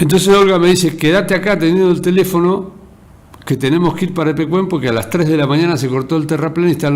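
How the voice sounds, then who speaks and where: Over noticeable background noise and with audible room echo, a man speaks at a very fast pace. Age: 60s. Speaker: local radio and TV host, journalist. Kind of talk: editorial monologue.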